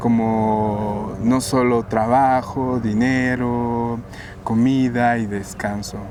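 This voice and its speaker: Flat, monotone speech from a man at medium pitch, with audible room echo and noticeable background noise. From Guatemala. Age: 30s. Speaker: painter. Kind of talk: interview.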